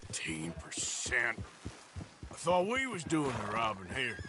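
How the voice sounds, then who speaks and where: A raspy, put-on character voice from a man, medium in pitch with very wide pitch swings, at a fairly slow pace, over clear background noise. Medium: video game. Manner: gruff, rough-edged.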